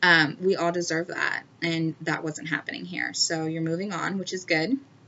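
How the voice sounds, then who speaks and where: With noticeable background noise behind her, a woman speaks at a moderate pace in a fairly low pitch with fairly even intonation. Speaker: tarot reader. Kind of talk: tarot reading. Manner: halting.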